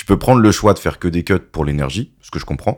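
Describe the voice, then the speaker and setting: A man speaks with vocal fry. The recording is very clean, with a silent background. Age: 30s. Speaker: DJ. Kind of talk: casual chat.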